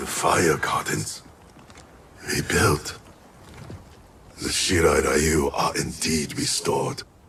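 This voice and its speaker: In a put-on character voice, a man talks at a very slow pace, leaving long, frequent pauses. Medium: video game. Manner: terse, grave.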